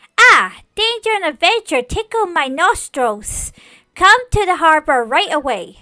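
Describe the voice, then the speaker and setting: A woman puts on a character voice at an extremely high pitch. She moves at a moderate pace with very wide pitch swings. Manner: theatrical, eager.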